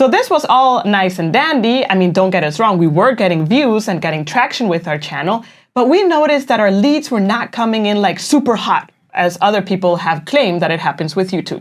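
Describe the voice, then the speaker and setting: In a Spanish accent, a woman speaks at a fairly quick pace with very wide pitch swings, in a very clean recording with a silent background. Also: medium pitch for a woman. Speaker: online business coach. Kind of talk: casual explainer.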